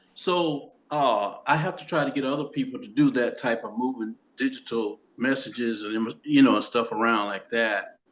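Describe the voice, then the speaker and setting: Speaking at a moderate pace, a man delivers his words with lively intonation. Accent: Southern US. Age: 70s. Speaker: documentary co-director. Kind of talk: casual chat.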